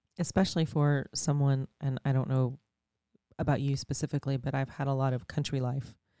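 A woman with an American accent speaks at a fairly quick pace in a very deep, low, dark and mellow tone, her intonation fairly even and the sound dry and close with no echo. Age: 40s. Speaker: true crime podcast co-host. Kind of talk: casual chat. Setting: studio.

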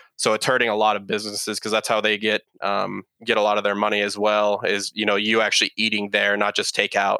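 A man speaks very fast in an American accent, with hardly any pauses and a flat, monotone delivery. His fairly low voice has a bright, sharp tone. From California, San Jose. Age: 20s. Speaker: podcast guest in recovery. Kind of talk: casual interview chat.

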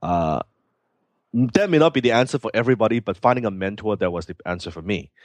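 Very fast and with big swings in loudness, a man with a Hong Kong accent talks at a fairly low pitch with lively intonation, the sound dry and close with no echo and the background quiet. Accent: Hong Kong Cantonese-accented English. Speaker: entrepreneur. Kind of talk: interview. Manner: halting.

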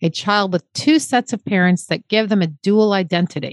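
With a plain, everyday voice, a woman of medium pitch speaks at a moderate pace in a dry, close sound with no echo. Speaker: podcast host. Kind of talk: podcast hosting, reading aloud and interviewing.

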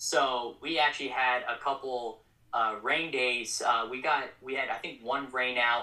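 Using an ordinary speaking voice, a man with a medium pitch talks at a fairly slow pace with fairly even intonation. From Colorado Springs, Colorado. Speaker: minor league baseball media relations coordinator. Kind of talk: casual interview chat.

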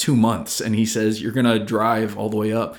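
Here is a man with a normal speaking voice and an American accent. He has a fairly low pitch and keeps a fairly quick pace. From American Samoa. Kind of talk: casual chat. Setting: studio.

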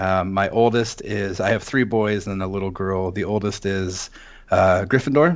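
At a moderate pace, a man with an American accent speaks in a normal speaking voice at a fairly low pitch. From US Pacific Northwest, Seattle. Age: 30s. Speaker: suicide attempt survivor, musician and wand carver. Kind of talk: interview, personal testimony.

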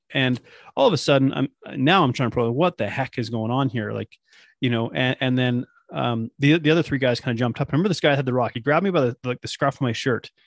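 Very fast speech from a man at medium pitch, with ordinary pitch variation, in a dry, close sound with no echo against a quiet background. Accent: western Canadian. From British Columbia, Canada. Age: 30s. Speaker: online nutrition coach. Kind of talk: interview, personal story and advice.

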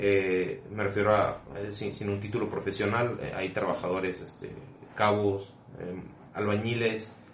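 A man speaks at a fairly slow pace with a fairly low pitch and monotone, flat intonation. Noticeable background noise and audible room echo fill the recording. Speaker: podcast host, civil engineer. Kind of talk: casual chat.

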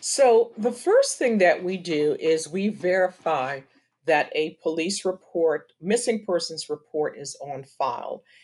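This is a normal speaking voice with an American accent, moving at a fairly slow pace with lively intonation. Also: woman, medium pitch for a woman. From US, Washington D.C. (born Trinidad). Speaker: nonprofit co-founder, PR professional. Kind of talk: interview.

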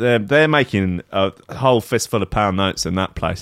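A man with an English accent speaks at a fairly low pitch. He keeps a moderate pace with ordinary pitch variation. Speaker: podcast co-host. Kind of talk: casual chat.

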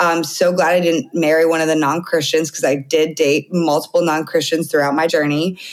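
A woman with a very deep, low voice speaks at a fairly quick pace, with hardly any pauses and very even loudness. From Canada. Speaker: dating coach and podcast host. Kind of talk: casual chat. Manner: animated.

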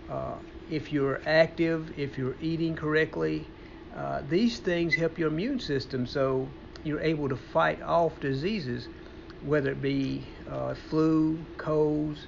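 Noticeable background noise sits under a man speaking fairly slowly. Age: 60s. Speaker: personal trainer and fitness show host. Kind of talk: casual chat. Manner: halting.

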